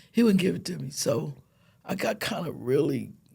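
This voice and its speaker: A woman with a very deep, low pitch and a dark, mellow tone speaks at a moderate pace with vocal fry and lively intonation. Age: 70s. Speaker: breast cancer survivor. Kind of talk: casual chat.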